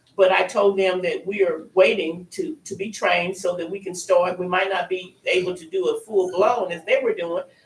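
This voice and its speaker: The speaker talks at a moderate pace with hardly any pauses. Noticeable background noise runs underneath. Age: 70s. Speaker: retired teacher presenting a community campus project. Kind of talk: public meeting presentation. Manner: halting, with many fillers.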